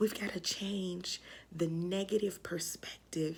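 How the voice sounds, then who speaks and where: The voice is somewhat breathy. The pace is very slow. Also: woman. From Memphis, Tennessee (US South). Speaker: school counselor sharing devotional vlog. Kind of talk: casual devotional talk to camera. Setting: home craft room. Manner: casual, conversational.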